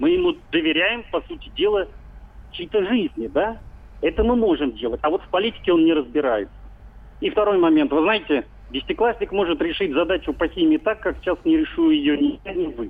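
Speaking fairly quickly, the man keeps his voice high. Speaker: magazine editor. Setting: phone call.

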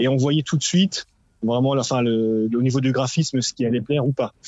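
A man has an ordinary speaking voice at medium pitch. He talks at a moderate pace with fairly even intonation. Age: middle-aged. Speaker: listener caller. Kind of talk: casual chat.

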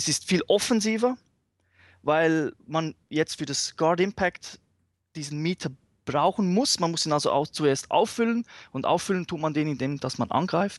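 Against a quiet background, a man with a high voice talks at a fairly slow pace, the sound dry and close with no echo. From Switzerland. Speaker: fighting game fan. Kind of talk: casual chat. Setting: remote call.

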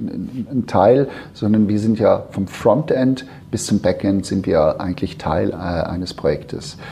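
Noticeable background noise sits under a man speaking at medium pitch. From Switzerland. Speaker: founder of an innovation consultancy. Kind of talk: interview. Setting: in person at his company office. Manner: halting, many fillers and repetitions.

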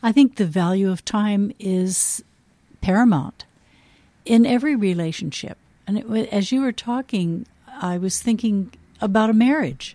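With an American accent, a woman talks at a moderate pace in a medium-pitched, somewhat breathy voice with a dark, mellow tone, lively intonation and long, frequent pauses. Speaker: former nun and teacher, host's mother. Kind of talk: casual chat.

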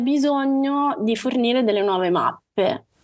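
Her voice is high for a woman, with lively intonation. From Calabria, southern Italy. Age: 30s. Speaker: service designer sharing her mental health story. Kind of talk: podcast interview, personal testimony.

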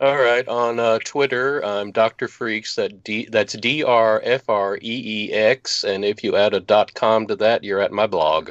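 In a normal speaking voice at medium pitch, a man speaks at a fairly slow pace with fairly even intonation and hardly any pauses, the sound dry and close with no echo over a quiet background. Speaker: film crew member and voice actor. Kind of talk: interview, casual chat.

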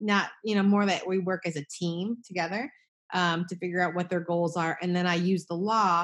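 A woman with an ordinary speaking voice talks at a moderate pace against a quiet background. Her pitch is fairly low and her intonation fairly even. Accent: American. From New Jersey. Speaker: estate planning attorney. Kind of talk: casual interview.

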